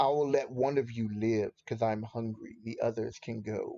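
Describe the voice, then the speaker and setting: A man's put-on character voice at a medium pitch. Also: moderate pace. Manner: sinister.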